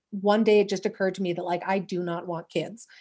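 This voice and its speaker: A woman with a Canadian accent talks in an ordinary speaking voice at medium pitch and a fairly quick pace, with fairly even intonation. The recording is very clean, with a silent background. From Western Canada. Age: 30s. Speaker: podcaster. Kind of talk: casual chat.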